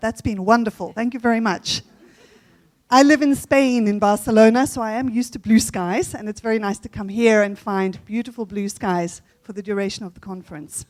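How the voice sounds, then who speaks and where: A woman speaks at a very fast pace with fairly high pitch. The recording is very clean, with a silent background. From South Africa. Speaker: conference plenary speaker on language teaching. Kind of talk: conference talk. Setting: conference hall with audience.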